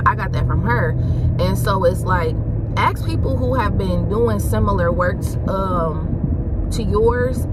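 A woman at a fairly slow pace, dry sound with no echo, loud background noise all around. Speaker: vlogger, new instructor. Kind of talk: casual vlog chat. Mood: chatty, briefly annoyed. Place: car. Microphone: phone near.

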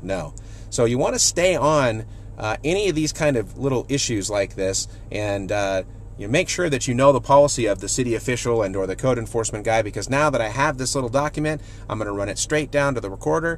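A man talking very fast, with light background noise and a dry sound with no echo. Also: lively intonation. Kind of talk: casual vlog tip. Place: car. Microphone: phone near.

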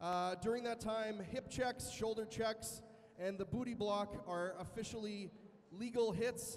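Here a man speaks at a fairly slow pace. His pitch variation is ordinary. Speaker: event announcer. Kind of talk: explanatory announcement to audience. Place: hall.

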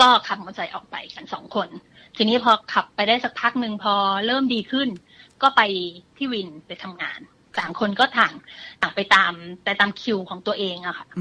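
The tone is bright and sharp. Loudness swings widely while pitch varies in an ordinary way. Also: woman, fairly high pitch for a woman. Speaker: guest storyteller. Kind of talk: ghost story told on a radio show. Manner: conversational.

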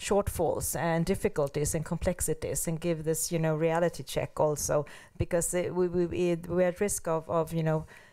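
Over a quiet background, a woman with a fairly low, dark and mellow voice talks at a moderate pace in a flat monotone, her loudness very even and hardly any pauses between words. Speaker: panelist. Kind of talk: panel discussion. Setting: seminar with audience. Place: hall. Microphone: handheld.

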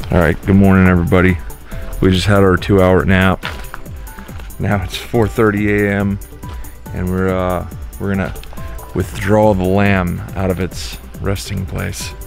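Speech at a fairly slow pace with ordinary pitch variation and long, frequent pauses comes through a dry sound with no echo, with faint music in the background. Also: man, very deep, low pitch for a man. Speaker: vlogger. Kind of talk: casual vlog chat. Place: open country. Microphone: phone near.

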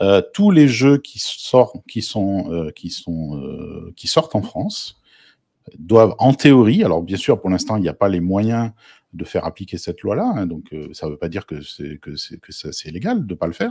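A man speaks at a fairly slow pace, his loudness swinging widely, in a dry, close recording with no echo. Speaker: guest analyst on game law. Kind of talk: debate discussion.

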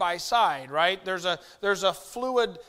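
Ordinary pitch variation in a man's speech. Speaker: preacher. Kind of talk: sermon. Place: church.

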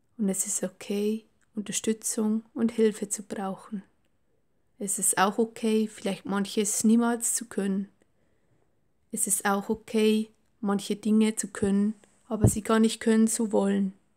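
A gentle, warm tone at a fairly slow pace, broken by long, frequent pauses. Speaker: meditation guide. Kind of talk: guided meditation. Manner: slow, calm, soothing; gentle, warm, unhurried.

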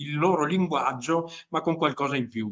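At a moderate pace, a man speaks in a fairly high voice with a bright, sharp tone over a quiet background. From Italy. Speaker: group member asking questions. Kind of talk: casual chat. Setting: video call. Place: home room. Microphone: video call.

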